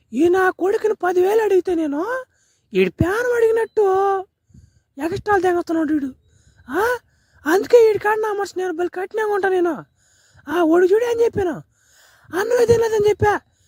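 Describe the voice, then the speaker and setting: This is a cartoonish character voice at an extremely high pitch. The pace is moderate. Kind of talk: comic spoof dubbing. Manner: rustic coastal village speech.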